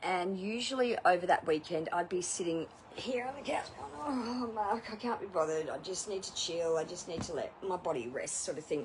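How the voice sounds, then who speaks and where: A woman's fairly low voice with lively intonation. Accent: Australian. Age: 40s. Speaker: outdoor instructor and former masseuse. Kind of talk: casual vlog testimonial. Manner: chatty, filler-heavy.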